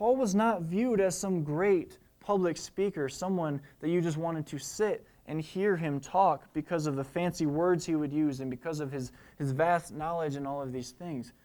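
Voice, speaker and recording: A man's fairly high voice with ordinary pitch variation at a moderate pace, an unremarkable speaking voice, in a very clean recording with a silent background. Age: 20s. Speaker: preacher. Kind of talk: sermon.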